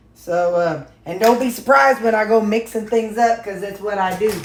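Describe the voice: Speaking at medium pitch and a moderate pace with ordinary pitch variation, a woman is heard with audible room echo.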